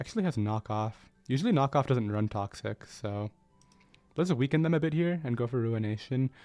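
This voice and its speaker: Quietly and at a moderate pace, a man talks at medium pitch with lively intonation over background music, in a dry, close sound with no echo. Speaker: gaming YouTuber. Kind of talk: gameplay commentary.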